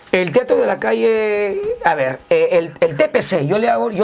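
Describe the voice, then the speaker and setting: A man speaks in a high voice. His pitch swings very widely. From northern Peru, Chiclayo. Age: 50s. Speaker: street comedian. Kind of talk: interview. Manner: halting.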